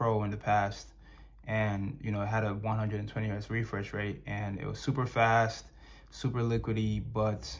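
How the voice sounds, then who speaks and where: A fairly low-pitched man with monotone, flat intonation, in audible room echo. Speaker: tech reviewer. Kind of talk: product review. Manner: halting, many fillers; casual, conversational.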